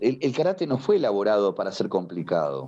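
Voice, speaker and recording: This man speaks with a Rioplatense accent at a fairly quick pace. His tone is dark and mellow, with very wide pitch swings. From Uruguay, Montevideo. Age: 60s. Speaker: karate teacher. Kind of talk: podcast interview. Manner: animated.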